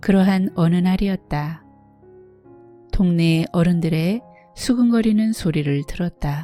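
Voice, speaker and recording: Over music in the background, a woman with a fairly low pitch talks at a very slow pace, leaving long, frequent pauses. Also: ordinary pitch variation. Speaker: audiobook narrator. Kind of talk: literary fiction reading. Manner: soft-spoken.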